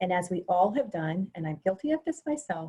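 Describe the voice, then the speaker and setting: This woman has a medium-pitched voice with a dark, mellow tone and a somewhat breathy quality. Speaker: webinar presenter. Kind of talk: webinar presentation. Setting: video call. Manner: fast.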